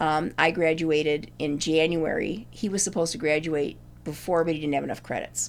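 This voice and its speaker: In an American accent, a woman speaks with a very deep, low pitch and vocal fry. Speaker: retired English teacher. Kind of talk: personal storytelling interview. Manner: halting.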